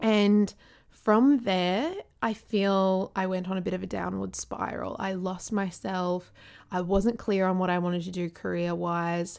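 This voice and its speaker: A woman with an Australian accent talks at a fairly slow pace and medium pitch, her intonation fairly even, on a very clean recording with a silent background. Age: 20s. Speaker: podcast host and lifestyle blogger. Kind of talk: casual monologue.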